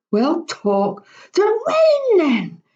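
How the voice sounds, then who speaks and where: A woman uses a put-on character voice. It is squeaky and extremely high in pitch. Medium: read story. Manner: grumbling.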